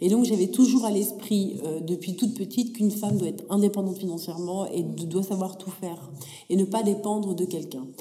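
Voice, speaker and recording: Speaking at a fairly quick pace, a woman with a medium-pitched voice and ordinary pitch variation is heard over noticeable background noise, with audible room echo. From France, Paris region, adolescence in Africa. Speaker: tech entrepreneur. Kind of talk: interview.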